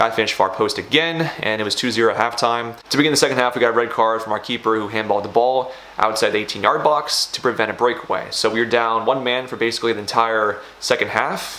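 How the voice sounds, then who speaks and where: This man talks at a fairly quick pace with a medium pitch. Noticeable background noise sits behind him. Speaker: semi-pro soccer player and vlogger. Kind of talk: vlog commentary. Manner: low energy.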